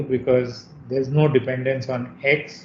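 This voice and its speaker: Light background noise and audible room echo accompany a man's somewhat breathy voice at a medium pitch. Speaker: university lecturer. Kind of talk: lecture. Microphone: video call.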